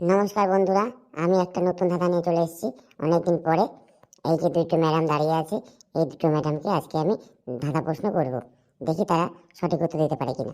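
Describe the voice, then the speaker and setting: Doing a cartoonish character voice, a woman speaks at a fairly low pitch and a fairly quick pace, with very even loudness. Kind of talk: comic cartoon quiz show. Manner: teasing, lively.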